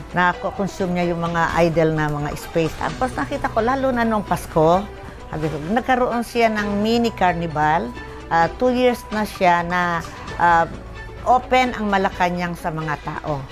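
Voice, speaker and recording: Over background music, a woman with a fairly low pitch speaks fairly slowly with lively intonation. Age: old. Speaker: senior citizen. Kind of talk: interview answer.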